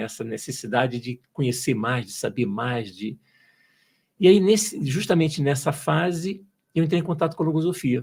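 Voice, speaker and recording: A somewhat breathy male voice on a very clean recording with a silent background. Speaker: engineer turned entrepreneur, logosophy student. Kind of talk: podcast interview. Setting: studio. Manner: hesitant, repeats words.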